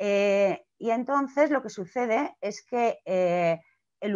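A woman talks in a normal speaking voice at a medium pitch with lively intonation. The background is quiet. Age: 40s. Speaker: clown and theatre director; speaker. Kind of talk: talk on a video call. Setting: video call. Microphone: video call.

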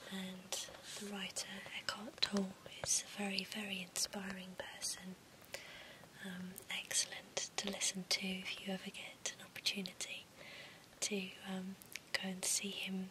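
A woman whispers with long, frequent pauses, keeping a moderate pace. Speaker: presenter. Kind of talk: soft-spoken book recommendation chat.

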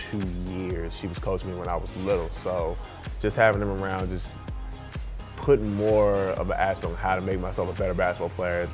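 A man's voice with long, frequent pauses, clear music playing behind him. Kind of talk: interview answer. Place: home room. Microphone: lapel.

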